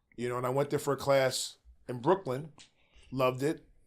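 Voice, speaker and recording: On a very clean recording with a silent background, a man with an unremarkable speaking voice talks at a moderate pace and medium pitch. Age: 60s. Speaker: jiu-jitsu practitioner. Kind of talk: podcast interview.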